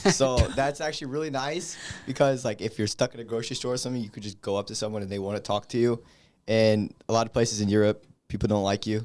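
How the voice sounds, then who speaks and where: On a very clean recording with a silent background, a man of medium pitch talks at a very fast pace with ordinary pitch variation. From Czech Republic. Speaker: college student athlete. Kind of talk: casual chat.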